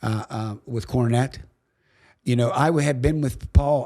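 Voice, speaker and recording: In a Pittsburgh accent, a man speaks at a fairly slow pace with a medium pitch, ordinary pitch variation and a dark, mellow tone, in a very clean recording with a silent background. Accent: western Pennsylvania (Pittsburgh). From Pittsburgh, Pennsylvania. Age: 70s. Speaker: boxing commissioner and former referee. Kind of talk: storytelling in podcast interview.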